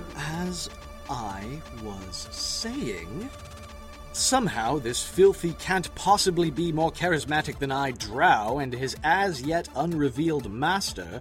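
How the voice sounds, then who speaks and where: Over clear background music, a man puts on a shrill character voice, fairly high in pitch and fairly slow. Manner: pompous, self-important storyteller.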